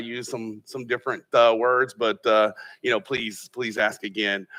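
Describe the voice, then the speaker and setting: A man with a Texan accent, bright and sharp in tone, with monotone, flat intonation at a moderate pace, on a very clean recording with a silent background. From Texas, Austin area. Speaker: tech company founder, Army veteran. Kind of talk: panel discussion.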